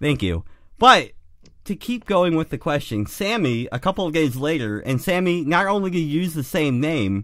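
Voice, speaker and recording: On a very clean recording with a silent background, a man talks at a moderate pace, his fairly high pitch making very wide swings. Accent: Midwestern. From US Midwest (Great Lakes region). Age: 30s. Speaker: podcast co-host. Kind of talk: casual chat.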